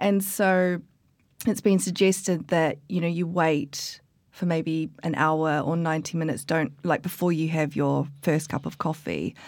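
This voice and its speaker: A woman with a New Zealand accent speaks at a fairly slow pace, her fairly low voice fairly even in intonation. The recording is very clean with a silent background. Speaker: coffee expert and barista. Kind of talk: casual interview chat. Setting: studio. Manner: hesitant, many fillers.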